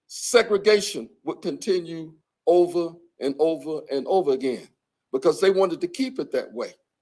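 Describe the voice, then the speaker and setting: Lively intonation in a Southern US accent at a moderate pace. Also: man, high pitch for a man. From US South, Birmingham, Alabama. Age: 70s. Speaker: civil rights bombing survivor, speaker. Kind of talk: public talk. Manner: halting, repeats words.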